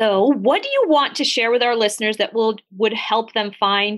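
A woman talks at a moderate pace in a fairly high pitch, with ordinary pitch variation. She has a plain, everyday voice. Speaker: therapist podcast co-host. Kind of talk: casual podcast conversation.

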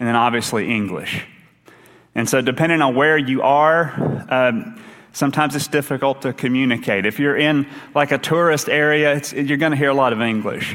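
A man with an Appalachian accent, fairly high in pitch with ordinary pitch variation, over noticeable background noise. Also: moderate pace. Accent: Appalachian Kentucky. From Eastern Kentucky. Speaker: associate minister. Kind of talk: sermon. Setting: church.

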